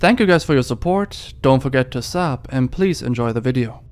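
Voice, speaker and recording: At a fairly quick pace, a man with a German accent speaks at a medium pitch with ordinary pitch variation. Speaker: documentary YouTuber. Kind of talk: documentary narration.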